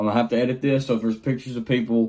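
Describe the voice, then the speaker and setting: The man's voice has a dark, mellow tone and sits at a medium pitch. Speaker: YouTuber. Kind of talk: casual vlog talk. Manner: fast when excited.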